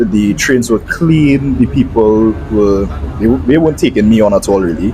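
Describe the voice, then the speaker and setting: Over music in the background, a man talks at a moderate pace with a fairly low pitch and lively intonation. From Trinidad. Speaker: travel vlogger. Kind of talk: voiceover narration.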